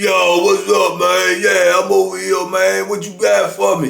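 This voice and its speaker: A man uses a put-on character voice that is booming. He speaks at a fairly slow pace. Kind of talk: street slang, casual.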